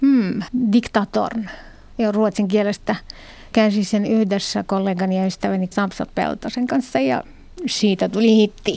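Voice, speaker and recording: Speaking at a fairly slow pace, a woman has a dark, mellow tone at medium pitch with ordinary pitch variation. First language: Arabic (Moroccan) (speaking Finnish). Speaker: literary translator. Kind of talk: interview.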